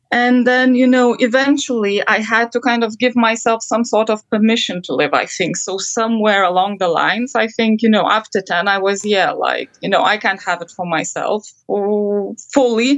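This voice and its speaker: A woman with an unremarkable speaking voice talks at a moderate pace with hardly any pauses. Her pitch is fairly high, with ordinary variation. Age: 30s. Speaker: counseling guest. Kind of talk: counseling session.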